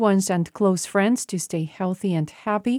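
Recorded very cleanly against a silent background, a woman with a Slovenian accent talks at a fairly quick pace and medium pitch, with ordinary pitch variation and a dry, close sound free of echo. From Slovenia, Maribor. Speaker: radio journalist. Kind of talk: prepared monologue.

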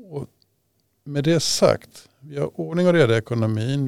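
The sound is dry and close, with no echo. A man speaks at a fairly slow pace in a medium pitch, his intonation lively. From Sweden, Stockholm region. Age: 60s. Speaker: local politician. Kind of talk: interview.

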